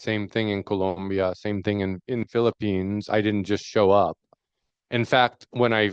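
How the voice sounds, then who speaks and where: A man's fairly low voice in a New York accent, fairly slow and fairly even in intonation, dry and close with no echo against a quiet background. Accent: New York American English. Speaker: fisheries researcher. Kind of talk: panel discussion. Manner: slowed-down deliberate pace.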